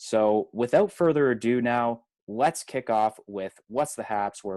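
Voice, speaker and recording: Recorded dry and close with no echo against a quiet background, a man talks with ordinary pitch variation. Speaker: podcast co-host. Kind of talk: casual podcast chat.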